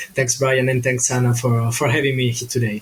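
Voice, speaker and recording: Noticeable background noise can be heard. A man talks over it at a medium pitch. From Italy. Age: 20s. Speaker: digital marketing consultant. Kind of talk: podcast interview. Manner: halting, many fillers.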